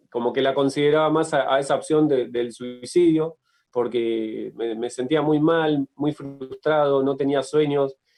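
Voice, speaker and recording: Fairly slow, fairly high-pitched man with fairly even intonation, music in the background. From Argentina, Tierra del Fuego and La Plata. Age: 30s. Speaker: writer and sports journalist. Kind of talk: interview testimony. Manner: halting, many fillers and repetitions.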